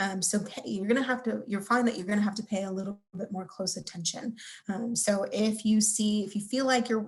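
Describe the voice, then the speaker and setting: Quiet and somewhat breathy, a woman speaks at a fairly quick pace. Her pitch is fairly high and her intonation fairly even. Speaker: career services advisor. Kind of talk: webinar lecture.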